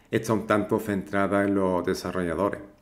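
A man with a fairly low pitch, fairly even intonation and a moderate pace. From southern Spain, Cádiz. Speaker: tech YouTuber. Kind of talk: tutorial. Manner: hesitant, many fillers.

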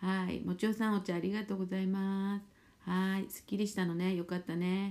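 A woman of medium pitch at a fairly quick pace, relaxed in tone, with monotone, flat intonation. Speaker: spiritual therapist and fortune teller; live streamer. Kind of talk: casual chat. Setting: live stream. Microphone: phone near.

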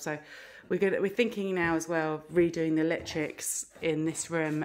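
A woman's very deep, low voice at a moderate pace. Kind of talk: casual vlog chat. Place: home room. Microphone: phone near.

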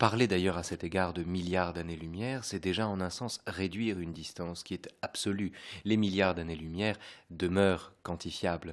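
A very deep, low male voice at a moderate pace, fairly even intonation and a quiet background. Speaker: radio host. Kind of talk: radio discussion. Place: home room. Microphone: studio mic.

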